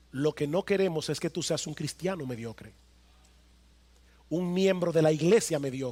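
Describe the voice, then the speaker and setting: A man's fairly high voice, dark and mellow in tone, with ordinary pitch variation on a very clean recording against a silent background. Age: 50s. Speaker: pastor. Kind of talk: sermon. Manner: emphatic, repetitive.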